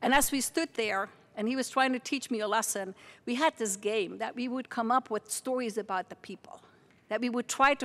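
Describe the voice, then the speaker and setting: A woman with a Dutch accent at a fairly quick pace. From Netherlands, near Margraten (Limburg). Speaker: university president. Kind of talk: welcome speech.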